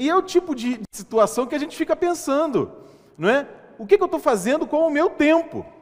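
A man's extremely high-pitched voice, fairly quick and with lively intonation, over noticeable background noise. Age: 30s. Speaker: pastor. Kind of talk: sermon.

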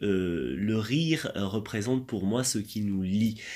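A man with an ordinary speaking voice talks in a fairly low pitch with lively intonation, recorded very cleanly against a silent background. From France. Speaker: laughter yoga teacher. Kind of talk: interview.

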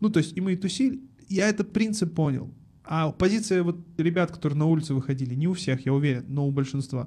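A man talks at a very fast pace with a dark, mellow tone and a fairly high pitch. His intonation is lively and his loudness stays very even. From Almaty, Kazakhstan. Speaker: advertising agency founder and podcast studio owner. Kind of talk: casual interview chat. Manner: animated, casual, slangy.

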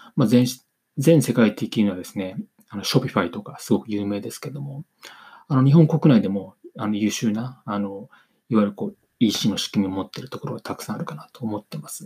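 This man speaks at a fairly quick clip in a fairly low pitch, with lively intonation and big swings in loudness. His tone is dark and mellow, and somewhat breathy. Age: 40s. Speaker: business consultant podcaster. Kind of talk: solo podcast monologue. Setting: home recording on camera. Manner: halting, many fillers; reading from script.

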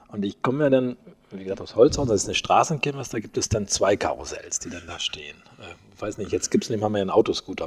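Lively intonation from a man at a very fast clip, with noticeable background noise behind. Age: 60s. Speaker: mayor. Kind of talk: interview. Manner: hesitant, many filler sounds.

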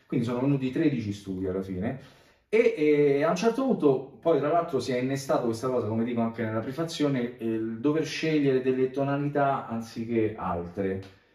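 Audible room echo surrounds a man talking at a fairly quick pace. His dark, mellow voice is medium in pitch, with ordinary pitch variation. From Italy, Rome. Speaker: bassist and composer. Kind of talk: casual interview.

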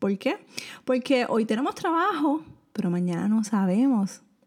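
A woman speaks with lively intonation in a Puerto Rican accent. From Puerto Rico. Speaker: personal finance podcaster. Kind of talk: solo podcast monologue, financial advice. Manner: casual, conversational with fillers.

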